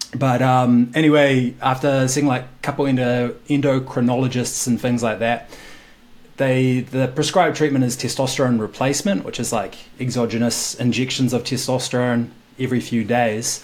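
A man with a New Zealand accent speaks at medium pitch and a moderate pace, his intonation fairly even. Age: 20s. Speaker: podcast guest sharing infertility story. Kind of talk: casual interview conversation.

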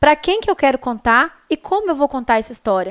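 A high-pitched female voice, its sound dry and close without any echo. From Minas Gerais, Brazil (Viçosa/Teixeiras). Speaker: marketing consultant and speaker. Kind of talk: interview. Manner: fast.

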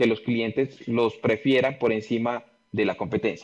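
A man talks in a plain, everyday voice at a medium pitch. His intonation is fairly even and his pace moderate. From Colombia, Pasto (Nariño). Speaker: industrial engineer and business consultant. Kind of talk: interview.

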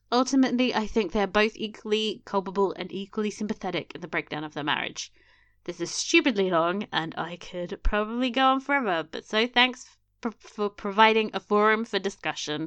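A woman with an unremarkable speaking voice talks at a fairly quick pace, her medium pitch carried by lively intonation. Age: 30s. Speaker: podcast co-host. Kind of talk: casual chat.

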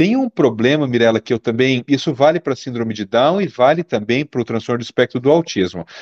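An ordinary speaking voice moves at a fairly quick pace with hardly any pauses. The sound is dry and close with no echo, over a quiet background. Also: man, medium pitch for a man, ordinary pitch variation. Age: 50s. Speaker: pediatric neurologist. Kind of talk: interview.

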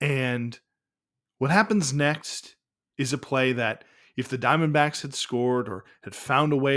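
A man's medium-pitched, normal speaking voice at a moderate pace. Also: very clean recording, silent background. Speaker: baseball history podcast host. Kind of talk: narrated game recap podcast.

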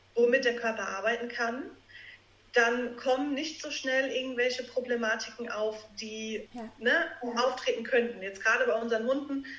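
A woman speaks in a high pitch with fairly even intonation. Audible room echo surrounds her voice. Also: moderate pace. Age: 30s. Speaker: naturopath. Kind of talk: podcast interview.

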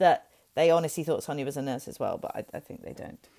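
In a Welsh accent, the voice comes through in a very clean recording with a silent background. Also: woman. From Wales. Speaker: podcast co-host. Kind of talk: casual chat. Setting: at home, childhood bedroom.

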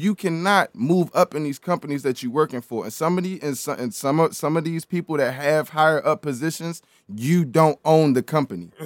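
A man with an American accent talks at a fairly quick pace with hardly any pauses and ordinary pitch variation, in a dry, close recording with no echo that is very clean and has a silent background. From Baltimore, Maryland. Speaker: podcast guest. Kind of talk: casual chat.

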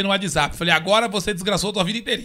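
A man's raised, projected voice, high-pitched, with a bright, sharp tone. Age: 30s. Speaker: podcast host. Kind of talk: casual chat. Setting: studio.

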